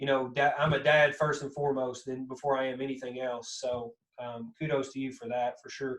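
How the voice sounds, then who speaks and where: Speaking in a strong Kentucky accent at a fairly quick pace with hardly any pauses, a man of medium pitch keeps a monotone, flat intonation while his loudness swings widely. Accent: thick Southern Kentucky. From US South, Kentucky. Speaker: podcast host. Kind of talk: casual chat.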